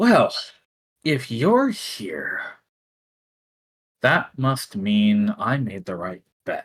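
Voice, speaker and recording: Using a put-on character voice at medium pitch, a man speaks very slowly. He leaves long, frequent pauses. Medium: actual play. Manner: casual, teasing.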